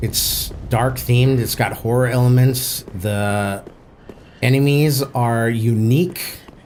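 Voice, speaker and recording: In a room with audible echo, a man with an American accent speaks very slowly at a medium pitch. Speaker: game streamer. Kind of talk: live gameplay commentary.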